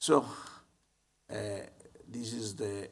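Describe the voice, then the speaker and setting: Speaking with an Italian accent, a man talks in a fairly low pitch with audible room echo. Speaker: psychiatry professor. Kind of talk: conference talk. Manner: halting.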